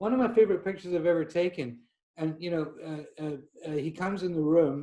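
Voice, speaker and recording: A man with a Scottish accent and a dark, mellow tone talks at a fairly quick pace with ordinary pitch variation. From Scotland. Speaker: portrait photographer. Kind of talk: podcast interview. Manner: halting.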